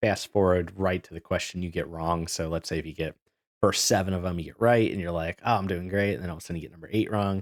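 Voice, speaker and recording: A man speaks with a very deep, low pitch and ordinary pitch variation. The sound is dry and close, with no echo. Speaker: chemistry instructor. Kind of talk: exam review session. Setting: video call.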